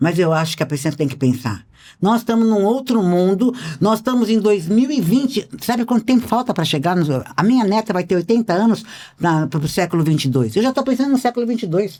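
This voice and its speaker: Her tone dark and mellow, a woman talks at a fairly quick pace with very wide pitch swings. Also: medium pitch for a woman, very even loudness. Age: 70s. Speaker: speaker and writer on human behavior. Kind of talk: podcast interview.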